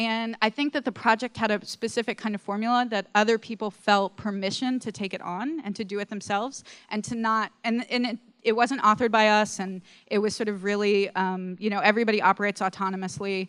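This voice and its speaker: Very fast and fairly high-pitched, a woman speaks with fairly even intonation in a dry, close sound with no echo on a very clean recording with a silent background. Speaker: arts nonprofit director, panelist. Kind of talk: conference panel talk with slides. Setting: conference stage with audience. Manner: hesitant, many fillers.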